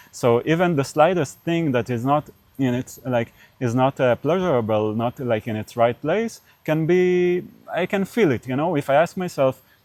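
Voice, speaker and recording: A man's fairly high voice with an Israeli accent, lively intonation and a moderate pace, dry and close with no echo. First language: Hebrew. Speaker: podcast interviewer. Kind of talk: casual interview conversation. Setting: on camera. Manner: halting, many fillers.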